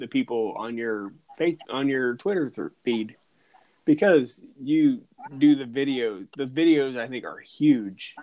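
Very slowly, a man speaks. His pitch swings very widely. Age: 40s. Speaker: podcast host. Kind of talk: casual chat.

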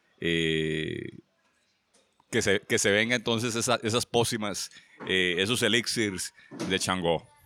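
Fairly low in pitch and bright, sharp in tone, a man speaks fairly slowly at a very even loudness with long, frequent pauses, the sound dry and close with no echo. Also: ordinary pitch variation. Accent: Costa Rican. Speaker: writer. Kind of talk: casual chat. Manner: stammering.

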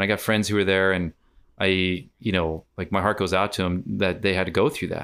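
Speaking with an American accent at a fairly quick pace, a man uses fairly even intonation and a very deep, low pitch. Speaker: comedian and teacher. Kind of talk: casual chat. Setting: remote call across time zones.

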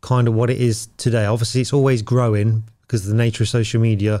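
With a British accent, a man speaks at a fairly quick pace in a dark, mellow tone and medium pitch, on a very clean recording with a silent background. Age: 40s. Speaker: podcast host, tradesman. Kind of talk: casual interview.

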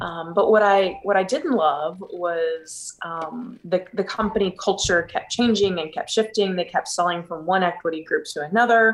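A woman talks at a moderate pace with ordinary pitch variation and hardly any pauses. She has an ordinary speaking voice. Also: medium pitch for a woman. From Texas (Houston). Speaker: business owner. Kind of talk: interview.

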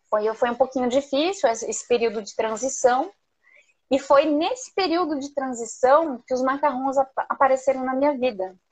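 Her voice high-pitched with ordinary pitch variation, a woman talks at a moderate pace. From southern Brazil, Curitiba. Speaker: entrepreneur, macaron maker. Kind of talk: live interview.

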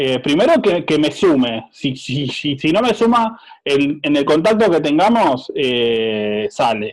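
Barely pausing, a man speaks at a very slow pace in a fairly high pitch that swings very widely. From Azul, Buenos Aires province, Argentina. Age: 30s. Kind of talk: casual chat.

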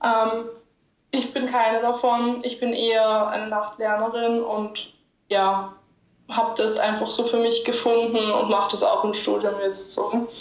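Over audible room echo, a woman with a fairly high pitch speaks at a fairly slow pace in a monotone, flat intonation. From Austria, Linz. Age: young. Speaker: medical student. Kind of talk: casual interview.

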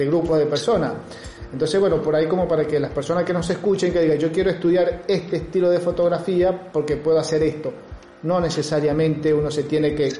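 Amid noticeable background noise and audible room echo, a fairly high-pitched man speaks at a fairly quick pace with very even loudness and a monotone, flat intonation. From Argentina, Río Cuarto (Córdoba province). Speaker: podcast host. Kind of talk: interview. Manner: halting.

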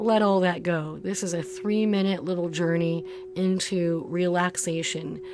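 A woman talks in a fairly low, warm, soothing voice at a fairly slow pace. Her intonation is monotone and flat, with music in the background. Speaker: yoga and meditation teacher. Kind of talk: guided meditation. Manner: slow, soothing, calm and gentle; unhurried, warm, soft-spoken.

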